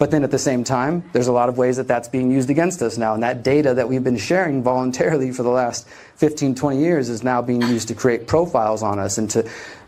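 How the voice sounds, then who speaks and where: With hardly any pauses, a man speaks very fast in an American accent with a dark, mellow tone. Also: medium pitch for a man, ordinary pitch variation. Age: 40s. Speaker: journalist and activist. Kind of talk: public talk. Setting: stage with audience. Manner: casual.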